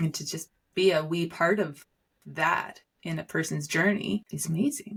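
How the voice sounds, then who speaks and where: A woman with a fairly low pitch and vocal fry, at a moderate pace. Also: ordinary pitch variation. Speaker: business consultant on brand and culture. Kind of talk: interview conversation.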